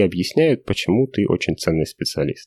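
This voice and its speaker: A very clean recording with a silent background, a dry, close sound with no echo, a dark, mellow tone and a moderate pace. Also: man. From Russia. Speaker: software developer. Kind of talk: interview.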